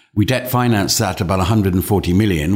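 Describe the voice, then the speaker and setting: A man's fairly low voice with an English accent and ordinary pitch variation, on a very clean recording with a silent background. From England. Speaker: mining company chairman. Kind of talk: interview. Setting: office. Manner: halting.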